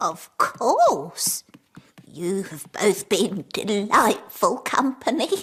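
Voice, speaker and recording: This cartoonish, female-sounding character voice sits at a medium pitch and moves at a very slow pace. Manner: genteel, polite.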